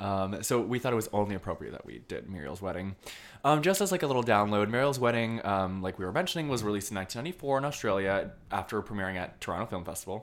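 Talking at a very fast pace, a man with a fairly low pitch uses lively intonation. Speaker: film podcast host. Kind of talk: casual chat.

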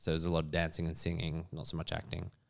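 This is a man speaking with an Australian accent. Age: 40s. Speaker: actor. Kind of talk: interview.

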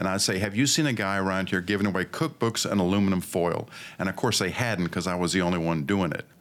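This man talks very fast in a very deep, low voice with an American accent. His loudness stays very even, and his pitch varies in an ordinary way. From Pakistan then Northern California. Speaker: financial planner and salesman. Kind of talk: casual interview.

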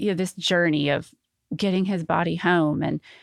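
A woman with an Arkansas accent speaks at a fairly quick pace in a fairly low, monotone, flat voice, captured dry and close with no echo on a very clean recording with a silent background. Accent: Southern US (Arkansas). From US South, Arkansas (North Little Rock). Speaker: gold star family member. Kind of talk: interview testimony.

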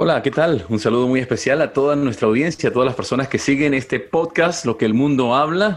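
The man talks at a fairly quick pace with hardly any pauses. His fairly high pitch shows ordinary variation, and his loudness stays very even. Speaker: podcast co-host. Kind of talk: casual chat.

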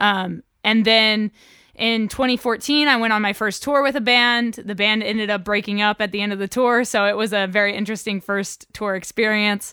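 In an American accent, a woman with a normal speaking voice and fairly high pitch talks at a moderate pace with fairly even intonation. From Oklahoma, US. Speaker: freelance photographer, videographer and musician. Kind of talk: interview.

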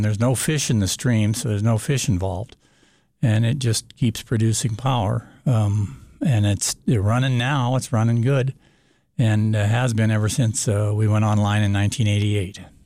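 This man speaks with an American accent in a dark, mellow tone at fairly low pitch, a moderate pace and ordinary pitch variation. His loudness stays very even, on a very clean recording with a silent background. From Montana. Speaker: solar energy business owner. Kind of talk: radio interview. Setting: radio studio. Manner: hesitant, many fillers.

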